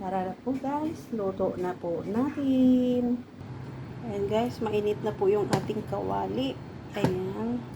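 At a very slow pace, a woman speaks with medium pitch and very wide pitch swings. Noticeable background noise and audible room echo surround her. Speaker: cooking vlogger. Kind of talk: cooking tutorial.

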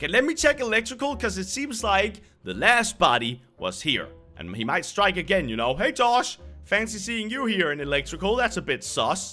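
A man's raised, projected voice at a moderate pace, with faint music in the background. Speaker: gaming youtuber. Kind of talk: casual gameplay commentary.

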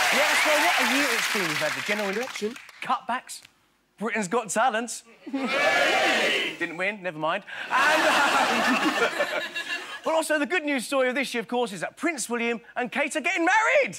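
Over loud background noise, a man projects a raised voice at an extremely high pitch, with very wide pitch swings and a moderate pace. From England. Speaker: impressionist. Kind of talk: stand-up comedy monologue on TV show. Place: stage. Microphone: lapel.

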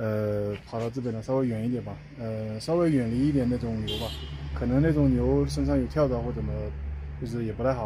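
Light background noise sits under speech that proceeds at a moderate pace. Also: man. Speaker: touring cyclist vlogger. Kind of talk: casual vlog chat. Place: open country. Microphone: phone near.

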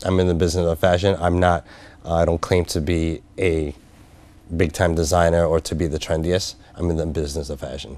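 Fairly quick and fairly even in intonation, a man speaks in a very deep, low pitch with dry sound and no echo. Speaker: business consultant. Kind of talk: interview. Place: studio. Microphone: lapel.

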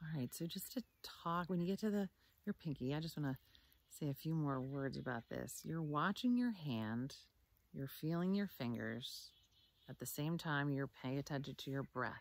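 A woman speaks in a calm, soothing tone with lively intonation and a very deep, low pitch, the sound dry with no echo. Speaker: meditation teacher. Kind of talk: guided meditation, calm instructions. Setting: video recording outdoors. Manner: slow, soothing, gentle; calm and measured, with long pauses. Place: forest. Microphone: phone near.

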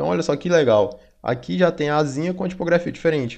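Against a quiet background, the speech carries ordinary pitch variation. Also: man. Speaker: design instructor. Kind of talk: tutorial. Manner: casual, with many fillers.

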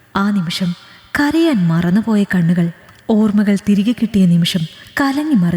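Lively intonation in plain reading aloud

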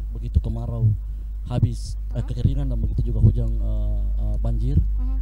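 A man speaks at a fairly quick pace in a dry recording with no echo, against loud background noise. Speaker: guest. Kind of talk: interview answer. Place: hall. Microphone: handheld.

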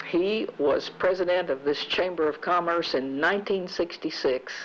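With ordinary pitch variation and a fairly low pitch, this woman has a plain, everyday voice. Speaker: local TV talk show host. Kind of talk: interview. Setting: on location with portable camera. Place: office. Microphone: handheld.

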